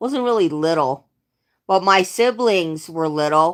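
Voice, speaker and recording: On a very clean recording with a silent background, a woman speaks at a fairly slow pace and fairly low pitch. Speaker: live streamer. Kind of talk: casual chat. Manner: halting.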